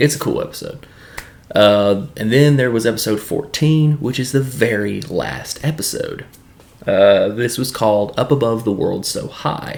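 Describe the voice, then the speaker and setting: With a Southern accent, a man talks with ordinary pitch variation over noticeable background noise. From US South, Tennessee. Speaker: YouTube film and TV reviewer. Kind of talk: casual solo review monologue. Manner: casual, with frequent filler words.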